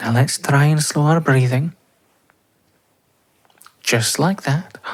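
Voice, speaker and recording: Soft-spoken and very slow, a man talks with ordinary pitch variation. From Scotland. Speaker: voice actor. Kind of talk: boyfriend roleplay sleep aid. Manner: soft-spoken, slow.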